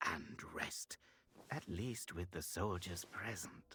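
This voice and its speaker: A man puts on a character voice. It is very deep and low, delivered at a very slow pace. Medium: video game. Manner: measured, solemn.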